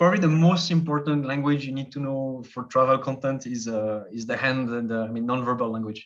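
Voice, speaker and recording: Speaking at a fairly quick pace with hardly any pauses, a man with a French accent uses a medium pitch and ordinary pitch variation. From French-speaking Switzerland. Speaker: travel youtuber. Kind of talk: casual chat.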